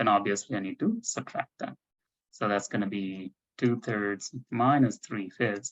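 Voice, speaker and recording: In an unremarkable speaking voice, a man talks at a fairly slow pace with a fairly low pitch and fairly even intonation. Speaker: math tutor. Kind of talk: online tutoring session.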